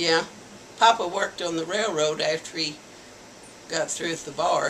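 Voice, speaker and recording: A woman with an American accent talks while noticeable background noise carries on. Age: 70s. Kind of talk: interview answer. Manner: slow, hesitant.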